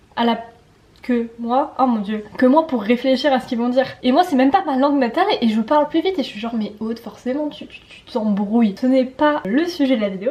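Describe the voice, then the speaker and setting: A woman with a high pitch talks at a fairly quick pace in an animated tone, her loudness swinging widely. Noticeable background noise is present. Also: ordinary pitch variation. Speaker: student vlogger. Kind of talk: casual vlog talk. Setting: at home in the evening. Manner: fast; animated, tripping over words.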